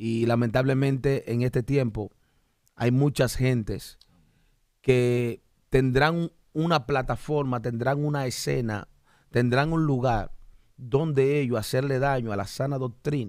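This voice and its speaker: A man with long, frequent pauses, recorded dry with no echo against a quiet background. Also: medium pitch for a man, fairly slow pace. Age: 40s. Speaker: pastor and podcast host; pastor podcast host. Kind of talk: religious podcast discussion; preaching-style podcast talk. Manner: animated. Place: studio. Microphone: studio mic.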